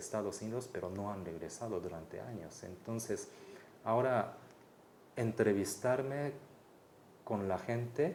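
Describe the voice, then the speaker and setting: A man with a Mexico City accent speaks at a fairly slow pace, his medium pitch varying in an ordinary way. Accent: Mexico City Spanish accent, Japanese speaker. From Japan. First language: Japanese (speaking Spanish). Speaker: anthropologist researcher. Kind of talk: interview. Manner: hesitant, many fillers.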